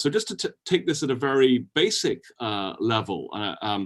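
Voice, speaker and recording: A man with a British accent, fairly high in pitch, with lively intonation at a moderate pace. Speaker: historian and author. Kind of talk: interview.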